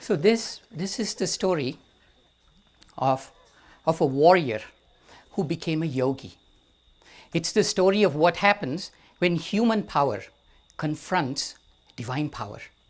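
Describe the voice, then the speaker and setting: Lively intonation comes with an Indian accent and long, frequent pauses. The recording is very clean, with a silent background. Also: man. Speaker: storyteller. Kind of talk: storytelling.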